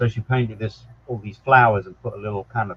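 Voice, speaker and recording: Somewhat breathy, medium-pitched male speech, fairly quick in pace and ordinary in pitch variation. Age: 60s. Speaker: psychic medium. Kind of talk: casual interview chat.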